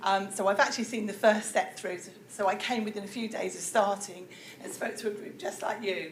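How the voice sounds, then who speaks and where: A woman talks at medium pitch with a British accent. Audible room echo surrounds her voice. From UK. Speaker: professor. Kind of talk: lecture.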